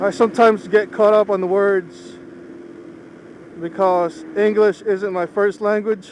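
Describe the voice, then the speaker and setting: A man with a Philippine accent, high in pitch, with long, frequent pauses and noticeable background noise. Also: ordinary pitch variation. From Philippines, moved to US at age 10. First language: Ilocano. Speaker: motorcycle vlogger. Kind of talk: casual vlog monologue while riding. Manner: measured, not fast.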